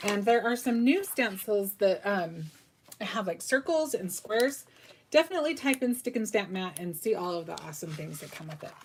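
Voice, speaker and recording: A woman's voice at a moderate pace, with lively intonation. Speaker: craft tutorial host. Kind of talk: live craft tutorial. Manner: casual, chatty with fillers.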